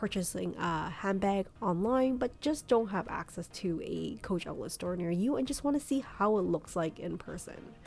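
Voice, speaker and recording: At a moderate pace, a woman speaks in a plain, everyday voice. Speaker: shopping vlogger. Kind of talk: shopping vlog narration. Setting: in a store. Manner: casual, filler-heavy.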